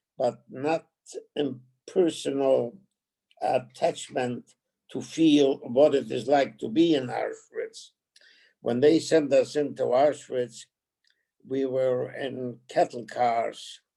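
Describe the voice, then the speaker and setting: A man speaks very slowly in a dark, mellow tone, his intonation fairly even and his speech broken by long, frequent pauses. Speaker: Holocaust survivor. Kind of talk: testimony. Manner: halting.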